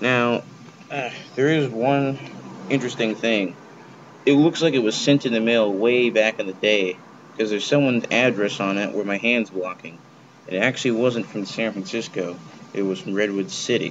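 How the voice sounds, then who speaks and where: There is noticeable background noise as a man talks at a moderate pace. He has ordinary pitch variation and long, frequent pauses. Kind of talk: casual vlog chat. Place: home room. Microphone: webcam.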